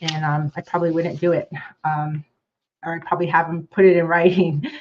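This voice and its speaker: Speaking at a fairly quick pace, a woman uses a fairly low pitch and monotone, flat intonation, with big swings in loudness. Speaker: prosecutor. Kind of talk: presentation. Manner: fast.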